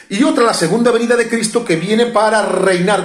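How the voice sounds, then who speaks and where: Moderately paced male speech, some echo from the room and clearly audible background noise. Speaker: preacher. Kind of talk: sermon. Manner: halting, frequent self-corrections.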